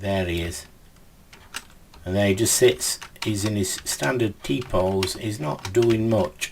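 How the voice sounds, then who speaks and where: The man's pitch is fairly low with ordinary variation, at a fairly slow pace. Noticeable background noise can be heard. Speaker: game development tutor. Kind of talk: tutorial.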